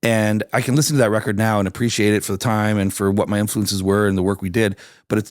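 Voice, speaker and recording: Very clean and silent in the background, this recording has a man with a Canadian accent. He speaks very fast at a fairly low pitch with fairly even intonation. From Canada, Hamilton Ontario (East End). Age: 40s. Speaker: singer-songwriter. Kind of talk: casual interview chat.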